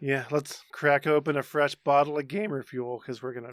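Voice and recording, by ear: A man puts on a squeaky character voice with fairly high pitch, talking at a fairly quick pace with fairly even intonation.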